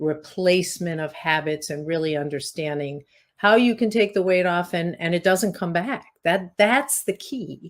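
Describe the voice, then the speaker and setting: Using an ordinary speaking voice, a woman talks at a fairly low pitch with ordinary pitch variation. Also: very clean recording, silent background. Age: 60s. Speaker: weight loss coach and hypnotist. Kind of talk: podcast interview.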